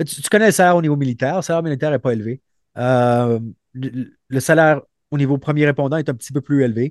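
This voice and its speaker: Very fast speech from a man at a fairly high pitch, with ordinary pitch variation and a dry, close sound with no echo. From Montreal, Quebec. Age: 30s. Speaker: former special forces soldier and police officer. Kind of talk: interview. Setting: remote call. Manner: halting, many repetitions.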